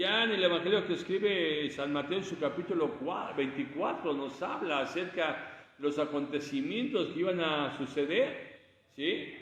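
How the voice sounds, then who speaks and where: A man's high-pitched voice at a fairly slow pace, with noticeable background noise and audible room echo. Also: ordinary pitch variation. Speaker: preacher. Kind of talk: sermon. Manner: halting. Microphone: speaking without microphone.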